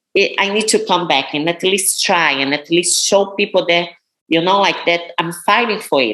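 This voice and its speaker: In a Brazilian Portuguese accent, a woman speaks at a moderate pace with a medium pitch and ordinary pitch variation. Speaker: professional bodybuilder. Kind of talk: interview.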